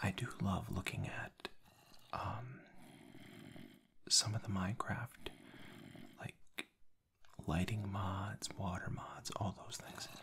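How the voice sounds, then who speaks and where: The speaker whispers at a very slow pace. Long, frequent pauses break up the speech. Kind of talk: ASMR gameplay commentary. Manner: soft-spoken; casual, relaxed.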